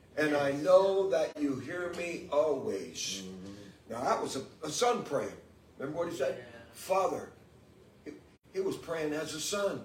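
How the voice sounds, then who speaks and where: Noticeable background noise surrounds a man with a high voice and lively intonation. He talks at a fairly slow pace with long, frequent pauses. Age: 70s. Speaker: guest preacher. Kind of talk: sermon. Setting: church.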